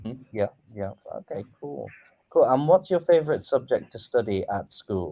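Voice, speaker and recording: Dry and close with no echo, this recording captures a man with an English accent. His loudness swings widely. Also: moderate pace. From England. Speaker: online English tutor. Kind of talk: casual chat.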